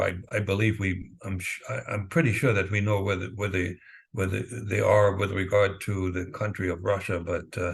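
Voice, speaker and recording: A man's fairly low voice comes across somewhat breathy. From East Germany. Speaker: former spy, author. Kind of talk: interview answer.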